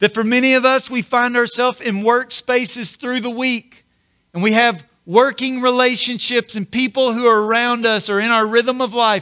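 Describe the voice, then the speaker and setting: At a moderate pace, a man with an extremely high pitch projects a raised voice with a bright, sharp tone and fairly even intonation, the sound dry and close with no echo. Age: 40s. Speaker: pastor. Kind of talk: sermon.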